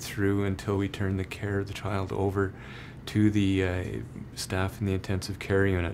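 Light background noise sits under the voice. A man with fairly low pitch talks at a moderate pace. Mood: warm, reassuring.

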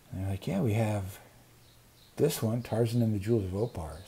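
A somewhat breathy man's voice with an American accent, dark and mellow, with fairly even intonation. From US Pacific Northwest. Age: 60s. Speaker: booktube creator. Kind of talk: casual vlog monologue. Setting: outdoors on a patio. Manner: rambling, many fillers. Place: home room. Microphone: earbuds.

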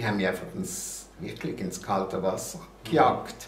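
A man speaks at a fairly low pitch with a Basel accent. There is audible room echo and light background noise. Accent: Basel Swiss German. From Basel, Switzerland. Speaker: TV and radio host, columnist. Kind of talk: interview answer. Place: home room.

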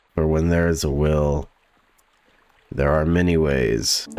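A man talks in a relaxed tone. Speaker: gaming YouTuber. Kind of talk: gameplay commentary. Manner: relaxed, chill; hesitant, many fillers.

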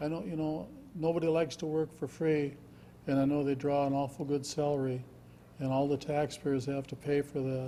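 A fairly high-pitched man with an Upper Midwest accent, a dark, mellow tone and monotone, flat intonation at a fairly quick pace. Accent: Upper Midwest (Minnesota). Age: 70s. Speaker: resident giving public comment. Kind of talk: public hearing testimony.

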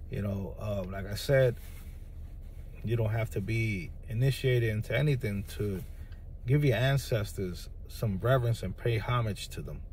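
A man with an American accent speaks at a moderate pace in a dark, mellow tone that is somewhat breathy. Long, frequent pauses break his speech, and audible room echo surrounds it. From New York City, the Bronx. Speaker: spiritual practitioner video creator. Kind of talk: monologue to camera. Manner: halting, many fillers.

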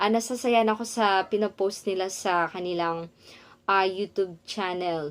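Using an ordinary speaking voice, a woman talks at a fairly slow pace and medium pitch with fairly even intonation. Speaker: vlogger and online English teacher. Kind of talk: vlog talking to camera.

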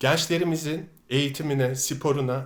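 Fairly high in pitch, a man's voice comes through. He speaks at a fairly slow pace. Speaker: political video blogger. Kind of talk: monologue commentary to camera. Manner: animated.

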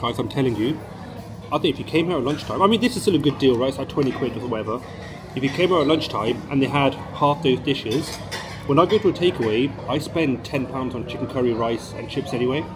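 A man talks at a very fast pace with ordinary pitch variation. Clear music plays in the background. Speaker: food reviewer. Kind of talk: casual vlog chat. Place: cafe. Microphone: phone near.

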